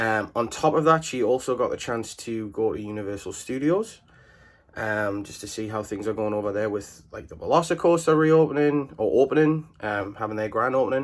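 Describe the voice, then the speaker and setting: A man speaks with an English accent at a fairly quick pace, his intonation lively. His loudness swings widely, and the very clean recording has a silent background. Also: medium pitch for a man. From England. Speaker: vlogger. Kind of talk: casual vlog talk to camera. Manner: hesitant, many fillers.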